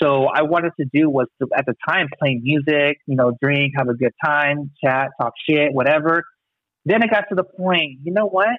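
A man with an ordinary speaking voice, fairly high in pitch, with an American accent, ordinary pitch variation, a moderate pace and very even loudness. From Long Beach, California. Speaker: podcast host, guest. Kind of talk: casual chat.

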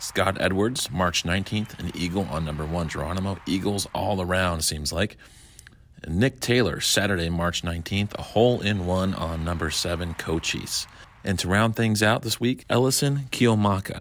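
Very deep and low in pitch, a man talks at a moderate pace with ordinary pitch variation. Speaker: golf results reporter. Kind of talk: news reading. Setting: studio, remote.

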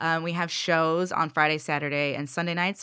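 On a very clean recording with a silent background, a woman with an American accent speaks at a moderate pace in a fairly low voice with a bright, sharp tone. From US Midwest, rural Missouri. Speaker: theater co-founder and comedy teacher. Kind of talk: casual chat.

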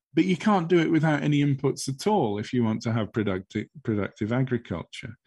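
A man speaks at a fairly quick pace with hardly any pauses and very wide pitch swings. The sound is dry and close, with no echo. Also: medium pitch for a man. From England. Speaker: professor of soil and plant science. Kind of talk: interview. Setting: video call. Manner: thoughtful, hesitant with fillers.

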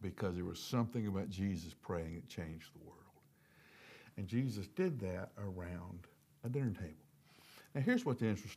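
With a Southern US accent, a man speaks at a moderate pace in a fairly low, dark, mellow voice. His loudness swings widely, and he takes long, frequent pauses. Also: ordinary pitch variation. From US South. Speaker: devotional speaker. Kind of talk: devotional talk.

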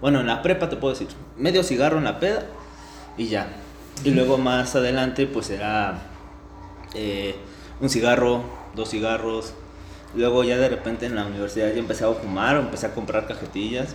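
A man's medium-pitched voice, fairly quick with long, frequent pauses and ordinary pitch variation, in audible room echo. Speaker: podcast co-host, psychology student. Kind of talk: casual chat.

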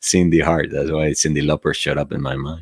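A man with a Spanish accent. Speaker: meditation teacher. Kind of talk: livestream talk and guided meditation. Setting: online livestream. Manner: soft-spoken.

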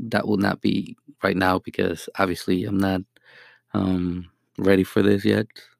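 At a fairly slow pace and in a Mexican accent, the speech runs flat and monotone, recorded very cleanly with a silent background and a dry, close sound with no echo. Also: man. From Mexico. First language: Spanish. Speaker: beginner podcaster and marketing rep. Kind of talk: solo monologue, casual self-introduction. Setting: home-recorded, low quality audio. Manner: halting, many filler words.

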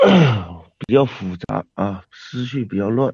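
In a dark, mellow tone, a man talks at a very slow pace with ordinary pitch variation. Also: dry, close sound with no echo. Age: 20s. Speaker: caller to a live online advice show. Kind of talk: call-in chat about personal problems. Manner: halting, hesitant with many fillers.

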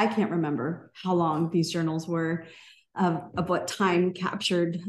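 A woman talks in a plain, everyday voice. Her pace is fairly slow. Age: 40s. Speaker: podcast host. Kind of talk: casual chat.

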